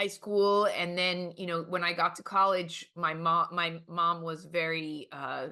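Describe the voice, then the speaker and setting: Speaking fairly slowly with hardly any pauses, a woman in a New York accent uses a fairly low pitch, a bright, sharp tone and a flat, monotone delivery. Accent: New York American. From US, New York City. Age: 60s. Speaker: artist and professor. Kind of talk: interview. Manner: hesitant, many fillers.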